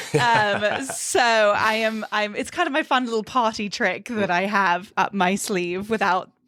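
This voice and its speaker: With a British accent, a woman talks at a fairly slow pace and a fairly high pitch. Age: 20s. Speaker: podcast host. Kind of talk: casual interview. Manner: animated.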